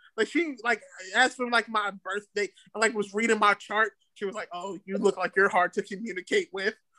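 A man's raised, projected voice, bright and sharp in tone, at a moderate pace, with a dry, close sound and no echo. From DMV area (DC, Maryland, Virginia). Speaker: rapper and internet comedian. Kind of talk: casual chat. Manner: loud.

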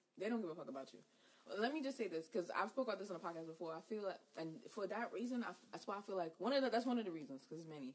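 Very wide pitch swings mark this animated tone. The pace is very fast. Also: woman, medium pitch for a woman. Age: young. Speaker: podcast host. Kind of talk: casual chat.

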